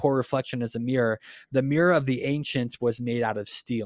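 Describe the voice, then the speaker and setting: A man speaks with a medium pitch and fairly even intonation. The recording is very clean, with a silent background. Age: 30s. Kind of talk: casual faith discussion. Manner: hesitant with fillers.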